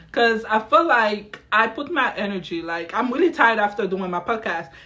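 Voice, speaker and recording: A woman's fairly high voice moves at a moderate pace with lively intonation, while noticeable background noise carries on behind her. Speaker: podcast host. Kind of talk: casual chat. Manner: loud when upset.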